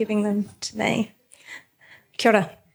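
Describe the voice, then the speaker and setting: A fairly high-pitched woman's voice with an Australian accent. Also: very clean recording, silent background. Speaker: landscape architect. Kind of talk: panel discussion. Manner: hesitant, many fillers.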